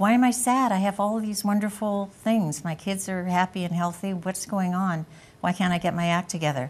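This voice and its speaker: A woman speaks at a medium pitch, somewhat breathy, with ordinary pitch variation and a fairly quick pace. The recording is very clean, with a silent background. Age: 70s. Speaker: patient. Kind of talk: TV interview.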